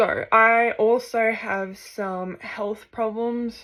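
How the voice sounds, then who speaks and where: In an Australian accent, a woman speaks with a fairly high pitch and a bright, sharp tone. Her intonation is monotone and flat, and the recording is very clean with a silent background. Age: 20s. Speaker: vlogger and university student. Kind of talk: casual vlog introduction. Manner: hesitant, frequent fillers.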